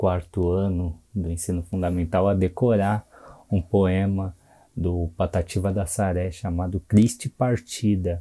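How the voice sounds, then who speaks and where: Against a silent background in a very clean recording, a man with a dark, mellow tone speaks at a fairly low pitch and a fairly slow pace with fairly even intonation. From Brazil, São Paulo (Cidade Tiradentes). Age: 20s. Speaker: poet. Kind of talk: workshop presentation. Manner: casual.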